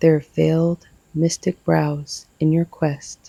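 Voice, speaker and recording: A soft-spoken woman talks very slowly with a very deep, low pitch for a woman. Her tone is soothing, dark and mellow. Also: dry, close sound with no echo. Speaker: ASMR poetry reader. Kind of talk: poetry reading. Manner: soft-spoken, soothing.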